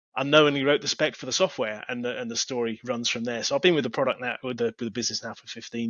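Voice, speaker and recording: Someone speaks very fast with an English accent, using ordinary pitch variation. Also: man. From England. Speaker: technology executive. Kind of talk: interview.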